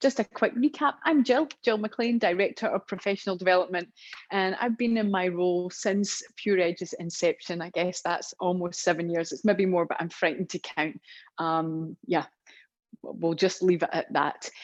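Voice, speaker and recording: With a Scottish accent, a woman speaks at a moderate pace and medium pitch with ordinary pitch variation. The background is quiet, and the sound is dry and close with no echo. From Scotland, Glasgow. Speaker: professional development trainer. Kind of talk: online training webinar. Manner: chatty.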